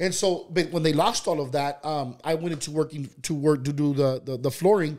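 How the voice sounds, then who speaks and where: A man's plain, everyday voice, fairly high in pitch, with ordinary pitch variation, a fairly quick pace and hardly any pauses. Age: 30s. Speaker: entrepreneur. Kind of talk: interview, personal life story. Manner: casual, many fillers and restarts.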